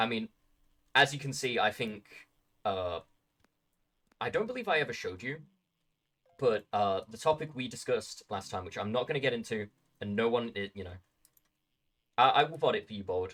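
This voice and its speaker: In a British accent, a man of medium pitch talks at a fairly quick pace with lively intonation. His loudness swings widely, and he leaves long, frequent pauses. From Britain. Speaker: livestreamer. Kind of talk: casual chat. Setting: live stream. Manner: halting, many fillers and repeats.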